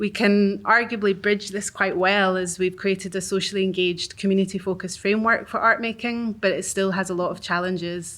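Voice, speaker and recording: A woman with a Glaswegian accent speaks at medium pitch and a fairly quick pace with monotone, flat intonation and hardly any pauses, on a very clean recording with a silent background. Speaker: arts organisation worker. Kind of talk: reading aloud. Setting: live event with audience.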